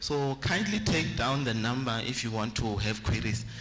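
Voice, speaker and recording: Music plays in the background and room echo is audible. A man speaks at a fairly slow pace with ordinary pitch variation. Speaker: medical aid representative. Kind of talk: sales pitch.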